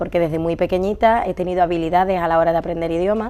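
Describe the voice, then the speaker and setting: Speaking at a very fast pace, a woman uses a fairly low pitch, fairly even intonation and a dark, mellow tone. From Andalusia, Seville. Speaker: medical interpreter. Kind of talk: interview.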